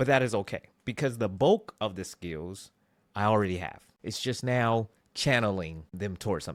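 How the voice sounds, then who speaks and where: A man speaks in an ordinary speaking voice, fairly low in pitch, with ordinary pitch variation at a moderate pace on a very clean recording with a silent background. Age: 40s. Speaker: motivational podcaster. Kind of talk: motivational monologue. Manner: conversational.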